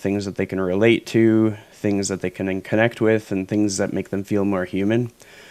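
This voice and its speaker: A Canadian-accented man speaks in a flat monotone. The recording is very clean, with a silent background. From Canada. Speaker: podcast host. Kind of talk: interview podcast.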